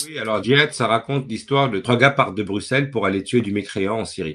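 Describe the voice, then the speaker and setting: A man talks at a fairly quick pace with lively intonation. The background is quiet. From Belgium, Brussels. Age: 40s. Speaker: playwright and director. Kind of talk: interview talk. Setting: webinar video call. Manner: hesitant with fillers and repetitions.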